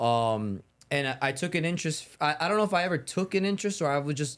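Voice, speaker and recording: An animated man at a fairly quick pace with lively intonation, on a very clean recording with a silent background. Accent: New York. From New York, Bronx. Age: 20s. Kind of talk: casual chat.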